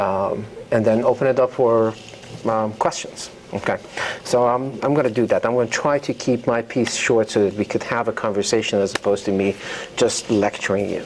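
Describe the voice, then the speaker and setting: Noticeable background noise sits behind a man's voice. His intonation is fairly even. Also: medium pitch for a man. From Iran. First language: Persian. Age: 50s. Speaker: novelist. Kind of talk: author talk. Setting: university lecture hall with audience. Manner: hesitant, many fillers.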